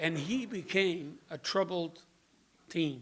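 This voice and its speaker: A man is speaking. He has a Dutch accent. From Netherlands (Rotterdam). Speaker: member giving personal testimony. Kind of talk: testimony.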